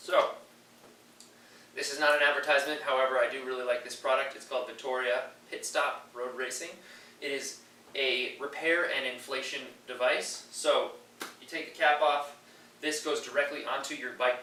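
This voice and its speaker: Over noticeable background noise and audible room echo, a man speaks with big swings in loudness. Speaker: triathlon coach. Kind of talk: tutorial. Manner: fast.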